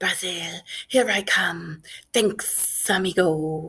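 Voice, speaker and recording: In a put-on character voice, a woman speaks very slowly at a medium pitch, sounding raspy and hissing. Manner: hissing, slithering speech.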